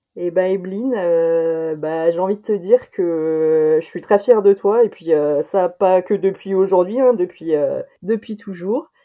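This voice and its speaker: A woman with a medium pitch talks at a fairly slow speed. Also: ordinary pitch variation. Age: 30s. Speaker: friend of guest, former teacher. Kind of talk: interview. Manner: hesitant.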